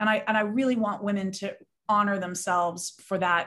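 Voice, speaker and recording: A woman's medium-pitched voice in a Southern Californian accent, with fairly even intonation and a moderate pace. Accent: Southern California American. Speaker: business woman guest. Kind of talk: casual interview chat.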